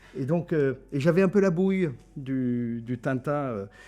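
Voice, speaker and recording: On a very clean recording with a silent background, a man with a fairly high pitch and a dark, mellow tone speaks at a fairly slow pace with ordinary pitch variation. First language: German (speaking French). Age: 60s. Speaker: trade journalist, editor-in-chief. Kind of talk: interview. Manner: hesitant, many fillers and repetitions.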